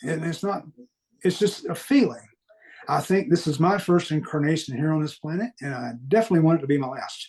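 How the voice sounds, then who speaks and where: A man speaks with a slight Southern US accent and a fairly high pitch. His intonation is lively, and his pace is fairly quick. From US Deep South. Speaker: guest sharing paranormal experiences. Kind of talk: podcast interview.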